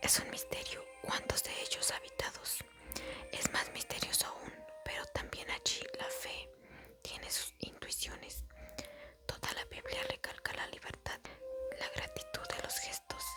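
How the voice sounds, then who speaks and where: Whispering drifts along at a fairly slow pace, broken by long, frequent pauses. Music plays in the background. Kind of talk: whispered ASMR Bible reading for sleep. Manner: whispered, soft-spoken.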